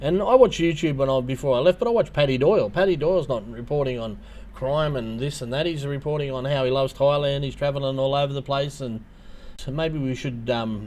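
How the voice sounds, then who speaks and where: Very fast speech from a man in an Australian accent. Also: fairly high pitch for a man, ordinary pitch variation. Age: 50s. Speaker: YouTuber. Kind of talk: livestream chat. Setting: livestream. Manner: hesitant, many fillers.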